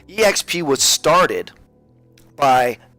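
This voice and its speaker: An energetic man speaks with lively intonation in an American accent. The sound is dry and close with no echo, and music plays in the background. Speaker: real estate agent. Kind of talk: webinar presentation. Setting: webinar.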